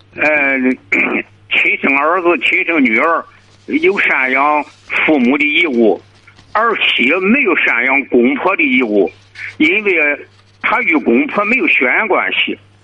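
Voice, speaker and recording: Speech comes at a very slow pace with long, frequent pauses. The loudness stays very even, and background noise is noticeable. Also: man. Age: 80s+. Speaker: caller. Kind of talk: phone-in advice call. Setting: phone call.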